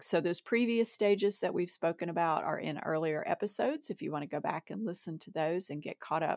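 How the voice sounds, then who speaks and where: A woman with a fairly low pitch uses a normal speaking voice at a moderate pace. The recording is very clean with a silent background and a dry, close sound with no echo. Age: middle-aged. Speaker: writer and editor, podcast co-host. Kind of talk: casual chat.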